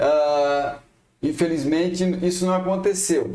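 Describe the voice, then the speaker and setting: Speaking very slowly, a man keeps his high-pitched voice fairly even in intonation. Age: 60s. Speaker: electrical engineer. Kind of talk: panel talk at a professional congress.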